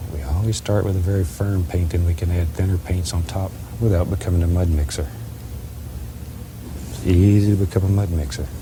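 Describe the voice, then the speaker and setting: This man's voice is very deep and low, with ordinary pitch variation and a soothing, gentle tone. He moves at a fairly quick pace yet leaves long, frequent pauses. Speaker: painting instructor. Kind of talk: TV painting tutorial. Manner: soft-spoken.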